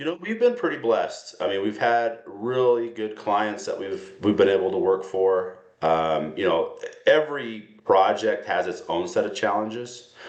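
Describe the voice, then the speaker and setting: A man holds a moderate pace, and noticeable noise runs in the background. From Wyoming. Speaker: custom home builder. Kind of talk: interview answer.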